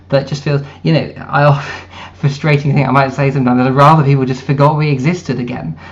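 A man's fairly high, monotone voice with flat intonation at a very fast pace, over noticeable background noise. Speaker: writer and party member. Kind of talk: interview discussion.

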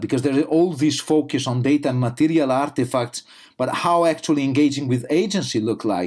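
The man's pitch is fairly high, varying in an ordinary way. He speaks with an Italian accent. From Italy. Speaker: media studies lecturer. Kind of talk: interview. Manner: halting.

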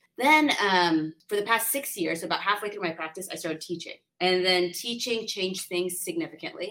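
A woman with an American accent speaks at medium pitch and a fairly quick pace. She uses ordinary pitch variation and hardly any pauses. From San Diego, California. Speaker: lawyer. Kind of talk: interview.

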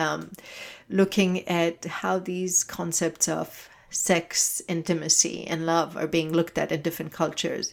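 A woman speaking in a flat monotone at a fairly slow pace, her pitch fairly low. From Israel. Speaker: documentary filmmaker. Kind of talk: interview. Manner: halting.

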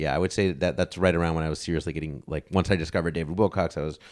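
A man's very deep, low voice with vocal fry at a very fast pace. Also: very clean recording, silent background. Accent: American. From Chicago, then Los Angeles area. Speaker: podcast host and game show enthusiast. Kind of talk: casual chat.

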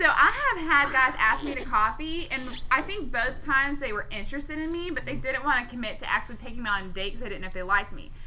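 With noticeable background noise behind her, a woman speaks very fast in a raised, projected voice with hardly any pauses. Her pitch is high and her intonation lively. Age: 20s. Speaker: podcast co-host. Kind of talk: casual chat.

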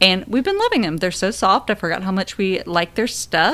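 This woman has a normal speaking voice. Her pitch sits in the middle range. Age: 30s. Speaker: podcast co-host and mother. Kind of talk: casual chat.

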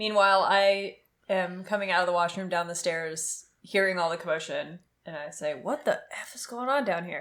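In a very clean recording with a silent background, a woman uses a normal speaking voice at medium pitch and a moderate pace, with ordinary pitch variation and big swings in loudness. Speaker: tabletop role-playing game player. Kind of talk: tabletop role-play session, casual.

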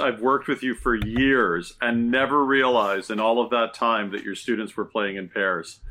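A normal speaking voice with a Canadian accent, moderate pace, ordinary pitch variation and hardly any pauses. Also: man. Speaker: high school English teacher. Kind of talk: casual interview chat.

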